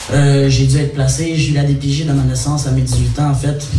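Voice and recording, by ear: Audible room echo surrounds a man speaking at a fast pace. His pitch sits in the medium range with little movement.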